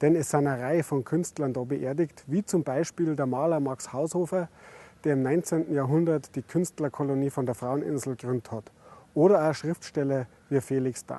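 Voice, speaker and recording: A man's fairly high-pitched, dark and mellow voice at a moderate pace, with ordinary pitch variation and a dry, close sound free of echo. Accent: Bavarian. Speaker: innkeeper. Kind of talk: travel guide presentation to camera. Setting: outdoors. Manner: friendly, casual.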